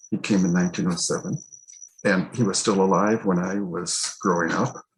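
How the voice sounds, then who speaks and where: A man with a Chicago accent, a fairly low voice, ordinary pitch variation and a moderate pace. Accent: Chicago-area American. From Oak Park, Illinois (US Midwest). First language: Italian. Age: 80s+. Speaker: church historian. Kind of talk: oral history interview. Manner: halting.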